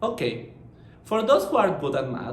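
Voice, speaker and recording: Over audible room echo, a man speaks with lively intonation in a Mexican accent. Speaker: marketing professional. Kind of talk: conference presentation.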